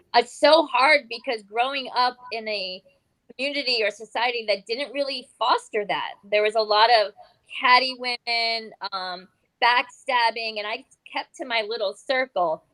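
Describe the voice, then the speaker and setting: Woman's fairly high voice at a fairly slow pace, an ordinary speaking voice. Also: ordinary pitch variation. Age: 50s. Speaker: community leader. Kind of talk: panel discussion.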